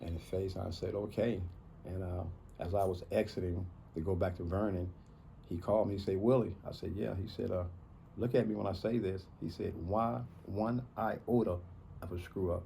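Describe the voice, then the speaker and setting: At a moderate pace with long, frequent pauses, a man speaks in a very deep, low, somewhat breathy voice of dark, mellow tone, with audible room echo. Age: 60s. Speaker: man in addiction recovery. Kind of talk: personal testimony in interview. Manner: halting with many fillers.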